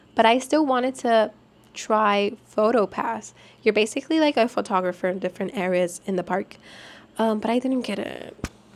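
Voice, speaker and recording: A woman with a Spanish accent talks in an animated tone. Her pitch is fairly high, with ordinary variation. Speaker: vlogger, former theme park college program worker. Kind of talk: casual vlog talk.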